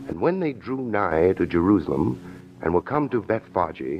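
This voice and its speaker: With music in the background, a man speaks at a fairly low pitch that swings very widely. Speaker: roving announcer, everyman narrator. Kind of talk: 1940s radio drama narration. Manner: hushed, low-toned.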